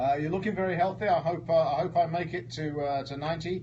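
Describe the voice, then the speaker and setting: A man talks at a fairly quick pace in an unremarkable speaking voice, with ordinary pitch variation. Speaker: radio host. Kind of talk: radio interview questions.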